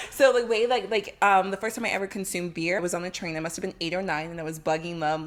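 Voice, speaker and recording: A woman speaks at a very fast pace with hardly any pauses, her medium pitch showing ordinary variation over noticeable background noise. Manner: casual, uses "like" often.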